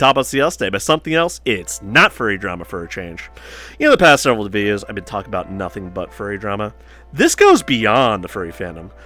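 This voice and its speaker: A man at a fairly low pitch, very fast pace and lively intonation, with big swings in loudness and music in the background. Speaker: online drama commentator. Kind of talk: casual commentary video. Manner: casual, conversational.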